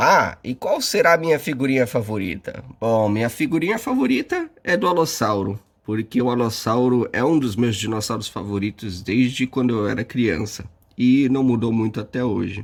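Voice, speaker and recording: In an unremarkable speaking voice of medium pitch, a man talks at a moderate pace with ordinary pitch variation, recorded very cleanly against a silent background. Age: 30s. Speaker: science communicator. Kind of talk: video testimony.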